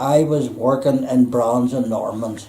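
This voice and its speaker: Speaking fairly slowly, a man talks with a Belfast accent. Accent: Belfast Northern Irish. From Northern Ireland, Belfast. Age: 80s+. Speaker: retired electrician. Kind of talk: life story interview. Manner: halting.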